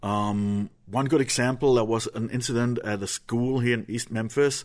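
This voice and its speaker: Against a quiet background, a man with a medium pitch talks at a fairly quick pace with fairly even intonation. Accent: German. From Germany. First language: German. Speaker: former extremist turned human rights activist. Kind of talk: interview. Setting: radio studio.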